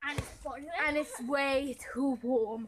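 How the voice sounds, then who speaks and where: With light background noise behind her, a woman projects a raised voice at a fairly slow pace. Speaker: vlogger. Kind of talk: casual vlog chat. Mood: cheerful, laughing. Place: street. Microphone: phone near.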